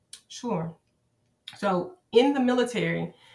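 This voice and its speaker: A woman speaks with a Southern US accent. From Arkansas, USA. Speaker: high school social studies teacher, army veteran. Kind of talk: podcast interview answer.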